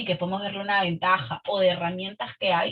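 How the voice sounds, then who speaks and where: A woman is talking. She keeps a fairly quick pace. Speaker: participant in leadership webinar. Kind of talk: online group discussion. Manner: fast.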